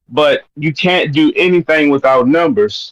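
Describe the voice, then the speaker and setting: With a Baltimore accent, a man speaks at a moderate pace and a fairly high pitch. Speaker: caller. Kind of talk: casual chat.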